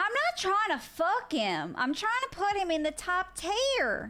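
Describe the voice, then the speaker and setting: A woman with a Southern US accent speaks in a raised, projected voice at a moderate pace. Her pitch swings very widely, and music plays in the background. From US, Italian American family. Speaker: gaming streamer. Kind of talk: live stream chat. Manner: animated.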